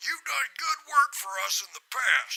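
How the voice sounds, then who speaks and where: A woman's put-on character voice at a fairly slow pace. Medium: audio drama.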